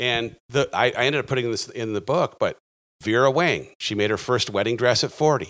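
In an ordinary speaking voice, a man talks fairly quickly at a medium pitch, with ordinary pitch variation. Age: 40s. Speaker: author and life coach. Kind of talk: casual interview. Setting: video call.

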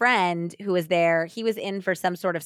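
Someone does plain reading aloud, the pitch shifting in an ordinary way.

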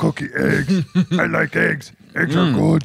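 Using a raspy put-on character voice, a man speaks at a fairly slow pace. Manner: goofy, gluttonous.

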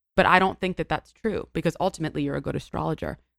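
A woman with an American accent talks very fast at a fairly low pitch, her intonation monotone and flat, in a dry, close sound with no echo. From New York City, Greenwich Village. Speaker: actress and content creator. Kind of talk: casual chat.

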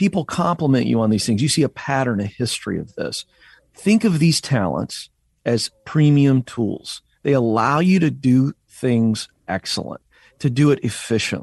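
A man with an American accent has a normal speaking voice at medium pitch, using lively intonation at a moderate pace. The sound is dry and close with no echo over a quiet background. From Virginia, Hampton Roads. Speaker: career coach and author. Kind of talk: interview. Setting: remote.

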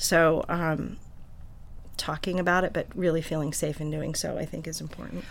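A woman's very deep, low pitch with vocal fry, monotone, flat intonation, a moderate pace and audible room echo. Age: 50s. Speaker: birth and postpartum doula. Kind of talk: casual panel discussion. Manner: chatty, laughs often.

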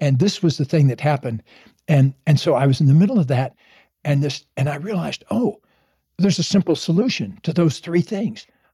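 A man's somewhat breathy, dark, mellow tone with lively intonation at a fairly quick pace, in a dry, close sound with no echo. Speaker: psychologist and relationship author. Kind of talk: casual chat. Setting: at home.

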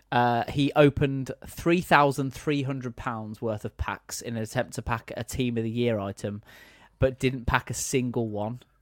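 A man with an ordinary speaking voice at medium pitch talks with fairly even intonation in a very clean recording with a silent background and a dry, close sound with no echo. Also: moderate pace. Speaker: gaming editor and host. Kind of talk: casual chat.

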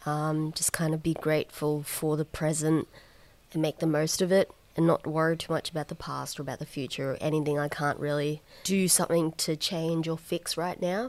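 A woman with an Australian accent speaks at a very deep, low pitch in monotone, flat intonation. Her pace is moderate, and the recording is very clean with a silent background. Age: 20s. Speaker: organ transplant recipient, psychology student and comedian. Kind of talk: interview. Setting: at home, backyard.

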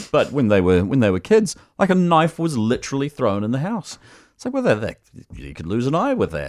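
With a New Zealand accent, a man talks at a fairly quick pace in a fairly high voice with very wide pitch swings. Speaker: radio host. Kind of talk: talk radio, casual chat and phone-in. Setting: studio.

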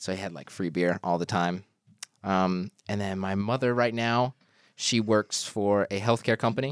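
On a very clean recording with a silent background and a dry, close sound with no echo, a man with an American accent uses an ordinary speaking voice, fairly low in pitch, at a moderate pace with ordinary pitch variation. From US South, Georgia. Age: 20s. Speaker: content creator. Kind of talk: casual chat.

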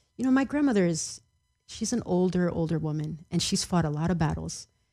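On a very clean recording with a silent background, a woman with a fairly low pitch speaks in an ordinary speaking voice. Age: 30s. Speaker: celebrity relative interviewed about family. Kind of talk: podcast interview.

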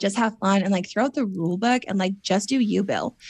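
A woman speaks at a fairly quick pace in a somewhat breathy voice. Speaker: former reality TV contestant. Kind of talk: casual interview chat. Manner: chatty, filler-heavy.

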